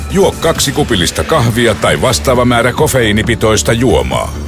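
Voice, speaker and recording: Over music in the background, a man speaks at a fairly slow pace in a serious tone with very wide pitch swings. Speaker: radio announcer. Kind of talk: radio public service announcement. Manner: serious, grave tone.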